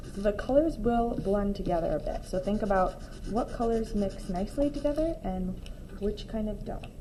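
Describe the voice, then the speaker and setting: Her intonation lively, the woman is heard through noticeable background noise and audible echo in the room. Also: fairly high pitch for a woman, moderate pace. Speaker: art teacher. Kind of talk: tutorial.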